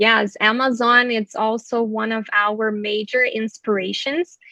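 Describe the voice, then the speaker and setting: A woman's very slow, fairly high-pitched voice, bright and sharp in tone, with fairly even intonation and a dry, close sound with no echo. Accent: Portuguese. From Brazil. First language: Portuguese. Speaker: fashion brand founder. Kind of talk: panel discussion.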